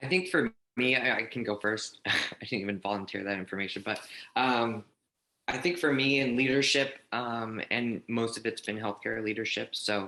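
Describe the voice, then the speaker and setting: In a plain, everyday voice, the speaker talks at a moderate pace with ordinary pitch variation. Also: man, medium pitch for a man. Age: 30s. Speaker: healthcare director. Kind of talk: panel discussion.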